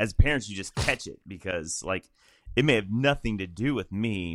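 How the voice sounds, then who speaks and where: With an American accent and a normal speaking voice, a man talks at a fairly quick pace with lively intonation, in a very clean recording with a silent background. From Illinois. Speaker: podcast host, pastor. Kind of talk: casual chat.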